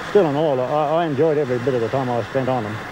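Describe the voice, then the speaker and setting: The recording has a dry sound with no echo, along with noticeable background noise. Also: man. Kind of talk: interview answer.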